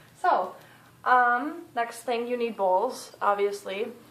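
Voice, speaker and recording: Female speech in audible room echo, with noticeable background noise. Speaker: pet care vlogger. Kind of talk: tutorial. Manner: animated.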